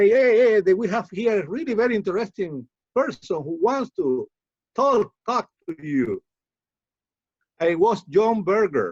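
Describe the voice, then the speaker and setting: With a Cuban accent, a man speaks at a moderate pace with lively intonation. The sound is dry and close, with no echo. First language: Spanish. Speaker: poet. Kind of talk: interview. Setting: video call. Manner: halting.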